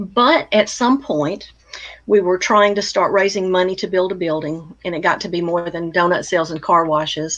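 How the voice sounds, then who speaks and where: A woman speaks at medium pitch with an American accent. Background noise is noticeable. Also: ordinary pitch variation, moderate pace. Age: 60s. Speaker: retired counselor and blogger. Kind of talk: interview conversation.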